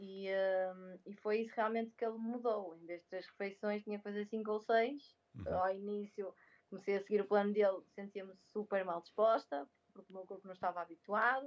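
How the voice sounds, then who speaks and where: A woman uses a normal speaking voice at a medium pitch with fairly even intonation. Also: moderate pace, big swings in loudness. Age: 20s. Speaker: speech therapist and crossfit athlete. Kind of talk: casual interview.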